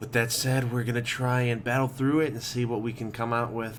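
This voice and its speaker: Room echo is audible as a man speaks at a medium pitch and a fairly quick pace. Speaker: gaming video creator. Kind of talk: gameplay commentary. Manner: quiet, trying not to be loud; casual, rambling.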